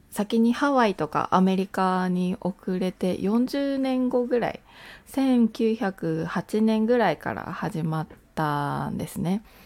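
A woman speaks at a very slow pace and medium pitch. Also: lively intonation. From Japan. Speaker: podcaster. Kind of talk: casual monologue.

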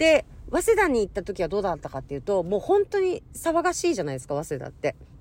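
Her loudness rises and drops in big swings. The woman talks at a very fast pace. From Hokkaido, Japan. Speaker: podcaster. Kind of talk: casual solo monologue.

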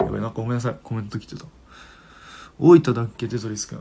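A man with a medium pitch and a somewhat breathy voice talks at a fairly quick pace. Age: 20s. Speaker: livestream radio host. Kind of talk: casual chat. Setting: live stream with listener comments.

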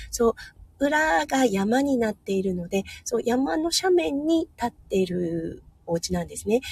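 A woman speaks at a fairly slow pace in a fairly high voice, her cheerful, upbeat tone rising and falling in very wide pitch swings. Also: dry, close sound with no echo. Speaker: nurse and livestream host. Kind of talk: casual morning livestream talk. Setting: in a car in hospital parking lot.

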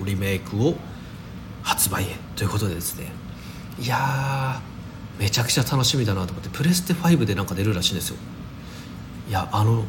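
The speech is fairly quick, with lively intonation. Audible room echo and noticeable background noise are present. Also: man. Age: 30s. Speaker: daily podcaster. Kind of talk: casual solo talk. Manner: casual, many fillers.

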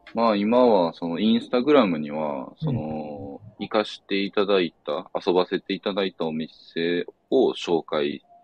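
A man with a Kansai accent, fairly low in pitch, lively intonation, a fairly slow pace and hardly any pauses. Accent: Kansai Japanese. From Osaka, Japan. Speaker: board gamer travelling around Japan. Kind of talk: casual chat.

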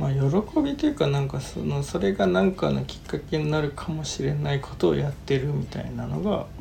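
Noticeable background noise sits under the talking. The delivery is fairly quick, with hardly any pauses. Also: man. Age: 30s. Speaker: podcast host. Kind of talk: casual chat.

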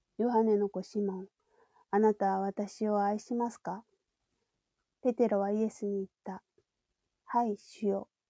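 A woman speaks at a fairly slow pace, leaving long, frequent pauses, in a dark, mellow tone. Her intonation is monotone and flat, the sound dry and close with no echo. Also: medium pitch for a woman. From Japan. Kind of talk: personal testimony.

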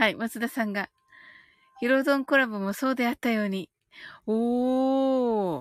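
A woman's soothing, fairly high voice, fairly slow and with ordinary pitch variation, recorded dry and close with no echo, with music in the background. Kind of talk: guided meditation, calm bilingual Japanese-English countdown script read aloud; casual livestream chat with listeners. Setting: live stream reading viewer comments. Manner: slow, soothing, evenly paced.

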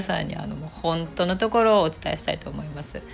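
A woman speaks very fast while noticeable background noise carries on behind her. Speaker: aromatherapist and online shop owner. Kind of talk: solo talk channel, casual chatter. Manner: humorous, chatty.

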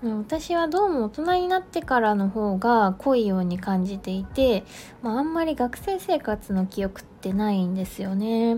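Somewhat breathy and fairly high-pitched, a woman talks at a fairly slow pace with very wide pitch swings. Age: 30s. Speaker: food artist and podcaster. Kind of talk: solo podcast monologue. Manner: casual, with many fillers.

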